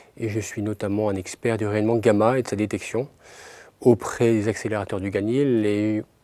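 Fairly low in pitch, a man speaks at a moderate pace in a dark, mellow tone, with a dry sound and no echo. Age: 40s. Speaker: nuclear physicist. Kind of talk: interview. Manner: halting. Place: studio.

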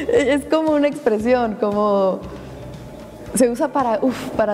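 Music plays in the background. A woman talks at a fairly slow pace with a high pitch and ordinary pitch variation. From Cuba. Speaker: actress. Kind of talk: interview answer. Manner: casual, upbeat. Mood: playful, animated. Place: studio. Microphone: lapel.

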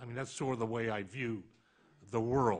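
A man speaks over a quiet background. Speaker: public defender office lobbyist. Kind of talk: panel talk. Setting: stage with audience.

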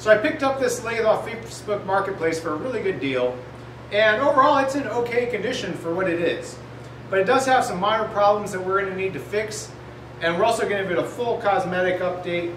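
With audible room echo and light background noise, a man with a high pitch speaks at a very fast pace. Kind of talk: tutorial. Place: workshop.

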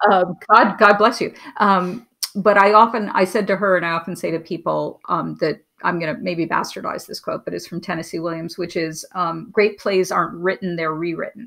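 A woman with an American accent speaks at medium pitch and a moderate pace, her bright, sharp tone carrying fairly even intonation over a quiet background. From New York City, Manhattan; New York City. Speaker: TV and film writer-producer; guest. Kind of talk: casual interview chat. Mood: relaxed, reflective.

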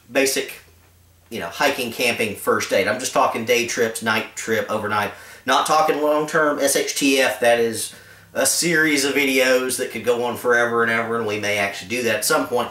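A man is speaking in a room with audible echo. His pitch varies in an ordinary way. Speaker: outdoor gear reviewer. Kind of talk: casual vlog rant. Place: home room. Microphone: camera far.

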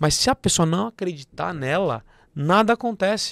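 A man's high voice with lively intonation, dry sound with no echo and a quiet background. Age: 30s. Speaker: accounting firm partner and entrepreneur; podcast guest. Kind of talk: podcast interview. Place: studio. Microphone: studio mic.

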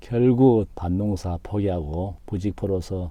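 The man's voice is very deep and low, with a dark, mellow tone. He speaks very slowly with fairly even intonation. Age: 50s. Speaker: YouTuber. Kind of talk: vlog monologue. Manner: formal.

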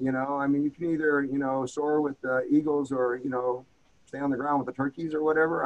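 A man with a fairly high pitch and an American accent, at a very fast pace. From rural US. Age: 60s. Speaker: former marine and martial arts instructor. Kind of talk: casual interview. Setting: in person, same room.

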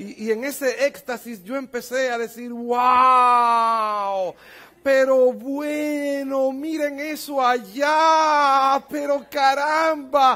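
Shouting at an extremely high pitch, a man keeps his intonation fairly even in a bright, sharp tone. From Dominican Republic. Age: 50s. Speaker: pastor. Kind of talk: sermon. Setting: church conference with audience. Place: church. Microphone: headset.

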